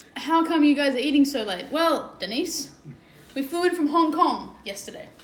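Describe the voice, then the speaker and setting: With an Australian accent, a woman speaks at a high pitch and moderate pace with lively intonation, amid audible room echo and noticeable background noise. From Sydney, Australia. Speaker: travel and adventure vlogger. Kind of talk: casual livestream chat.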